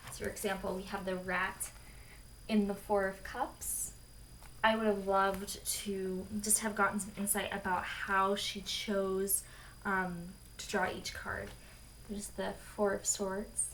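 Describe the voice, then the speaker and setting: Audible room echo surrounds a woman speaking at medium pitch in a monotone, flat intonation. Her pace is fairly slow, with long, frequent pauses. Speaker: tarot deck reviewer. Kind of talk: product review.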